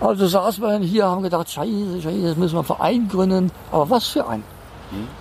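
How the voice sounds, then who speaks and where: A man speaks with a high pitch. Noticeable background noise can be heard. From Rhineland, Koblenz. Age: 60s. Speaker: resident of a trailer community. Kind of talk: casual interview.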